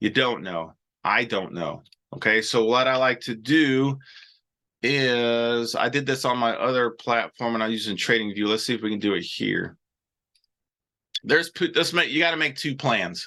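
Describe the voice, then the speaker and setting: Against a quiet background, a man with a bright, sharp tone uses ordinary pitch variation and leaves long, frequent pauses. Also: medium pitch for a man. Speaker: trading educator hosting live show. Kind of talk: live stream teaching with chat questions. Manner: fast; casual, filler-heavy.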